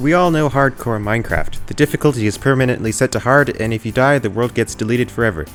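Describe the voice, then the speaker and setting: Over background music, a man talks at a very fast pace with hardly any pauses and ordinary pitch variation. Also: medium pitch for a man. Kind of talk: gameplay commentary narration. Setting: home recording, air conditioner audible.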